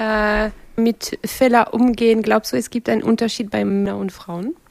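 A woman speaks at a fairly high pitch. The sound is dry and close, with no echo. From France. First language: French (speaking German). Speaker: interview moderator. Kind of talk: interview.

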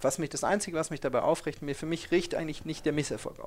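This is a man speaking. His pace is very fast. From Ruhr area, Germany. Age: 40s. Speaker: startup founder and investor. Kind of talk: interview. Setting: office space.

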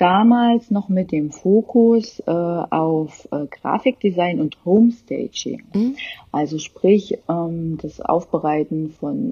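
A woman's fairly low voice at a very slow pace, with hardly any pauses and lively intonation. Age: 30s. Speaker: interior designer. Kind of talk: interview.

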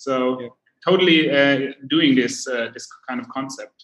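This man's pitch is fairly high, with ordinary variation. He speaks at a fairly slow pace. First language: German. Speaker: podcast host. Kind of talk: interview. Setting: livestream. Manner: halting.

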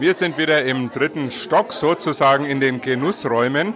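Crowd noise fills the background as a man talks fairly slowly. His intonation is lively. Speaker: radio host. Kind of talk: on-location interview. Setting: busy event venue.

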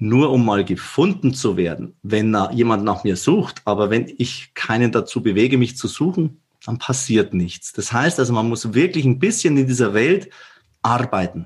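Over a very clean recording with a silent background, a man with a Bavarian accent talks in a somewhat breathy voice with lively intonation. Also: medium pitch for a man, moderate pace. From Upper Bavaria, Germany. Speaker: managing director of a digital company. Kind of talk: podcast interview.

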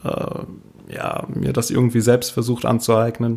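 A man is speaking. His pace is very slow. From Rhineland-Palatinate, rural Palatinate village. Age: 30s. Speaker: DJ and youth welfare office employee. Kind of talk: casual interview chat.

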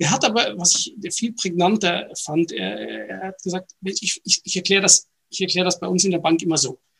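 A man's high-pitched voice at a moderate pace, with ordinary pitch variation, hardly any pauses and a dry, close sound with no echo. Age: 40s. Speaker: innovation company executive. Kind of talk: interview. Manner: halting, many fillers.

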